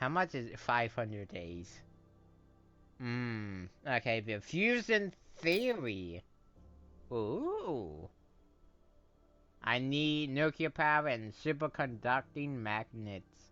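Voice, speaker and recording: Music plays in the background as a man talks at a very slow pace with very wide pitch swings. Long, frequent pauses break up his speech. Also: medium pitch for a man. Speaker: gaming YouTuber. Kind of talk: casual gameplay commentary. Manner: halting, many fillers and restarts.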